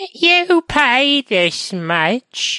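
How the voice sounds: The put-on character voice sits at a high pitch and moves through very wide pitch swings.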